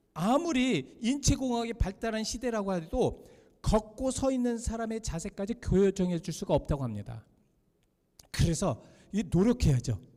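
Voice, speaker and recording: Loud and fairly slow, a man speaks at a high pitch in a dark, mellow tone with lively intonation. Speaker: pastor. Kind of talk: sermon.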